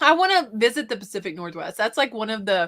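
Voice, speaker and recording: This woman has a fairly high pitch and speaks with a Southern accent. The recording is very clean, with a silent background. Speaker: reseller and YouTuber. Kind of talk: casual chat.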